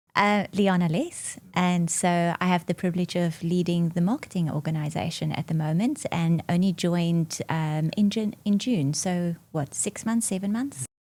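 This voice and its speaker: A woman speaks with a South African accent, a fairly low pitch and a somewhat breathy sound. Her pitch variation is ordinary, and she hardly pauses. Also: moderate pace. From South Africa, Bloemfontein. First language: Afrikaans. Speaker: marketing executive. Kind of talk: podcast interview. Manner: frequent fillers (um, uh).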